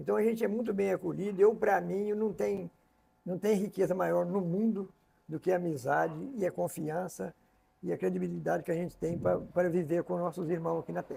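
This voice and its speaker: A man with a high voice speaks fairly quickly, his pitch shifting in an ordinary way. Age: 70s. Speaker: interview show host. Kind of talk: casual interview conversation.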